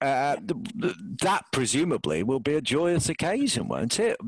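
This man's voice sits fairly high and carries vocal fry. His intonation is lively, and he keeps a moderate pace. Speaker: podcast host. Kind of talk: arts and entertainment podcast presenting.

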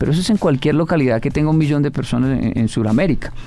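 Over background music, a man with a fairly high voice talks at a very fast pace with ordinary pitch variation. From Colombia, Bogotá (Ciudad Bolívar). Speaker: motivational speaker. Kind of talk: interview.

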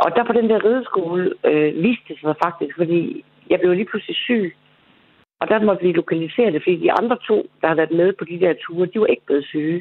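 A woman's fairly quick speech with ordinary pitch variation. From Denmark, Aarhus. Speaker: caller. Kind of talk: casual chat. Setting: phone call.

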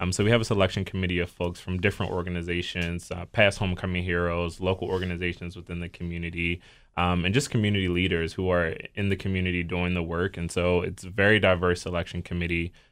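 A very deep, low male voice in an American accent, very fast with hardly any pauses and monotone, flat intonation, on a very clean recording with a silent background. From Baltimore, Maryland. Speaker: nonprofit deputy director. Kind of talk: radio interview.

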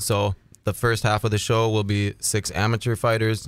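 Speaking with an Upper Midwest accent, a man uses a fairly low pitch and monotone, flat intonation. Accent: Upper Midwest American. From Minnesota. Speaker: MMA fight promoter and former fighter. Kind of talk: casual interview.

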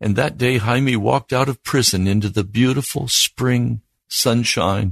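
Against quiet surroundings, a plain reading aloud moves through ordinary shifts in pitch.

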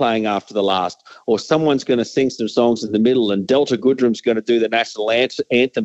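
A man's medium-pitched voice with an Australian accent at a fairly quick pace. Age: 50s. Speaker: sports commentator. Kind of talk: interview.

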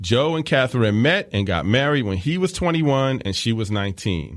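Against a quiet background, a man with an unremarkable speaking voice talks fairly quickly at a medium pitch, with lively intonation. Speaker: podcast host. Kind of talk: scripted narration with clips.

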